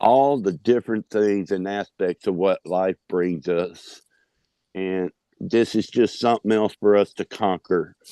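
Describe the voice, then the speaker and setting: A fairly low-pitched male voice with a dark, mellow tone. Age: 60s. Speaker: patient with artery disease. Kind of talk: testimony.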